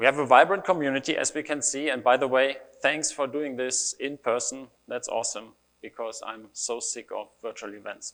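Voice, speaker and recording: The speaker has a German accent. The pitch varies in an ordinary way. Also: man. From Germany. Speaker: developer advocate. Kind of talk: conference talk. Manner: casual, with fillers.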